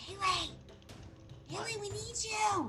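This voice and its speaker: Over music in the background, a woman whispers in a squeaky, put-on character voice. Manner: whispering; urgent, cautious, calling for someone.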